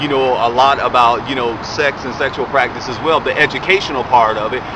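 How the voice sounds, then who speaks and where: A man's fairly quick speech carries over noticeable noise behind it. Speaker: vlogger and radio show co-host. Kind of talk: casual commentary vlog. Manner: animated; stuttering.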